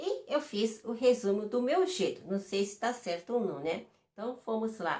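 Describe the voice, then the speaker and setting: At a fairly slow pace, a woman with a fairly high pitch speaks with lively intonation. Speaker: vlogger. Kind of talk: reading aloud; casual explainer vlog. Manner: halting.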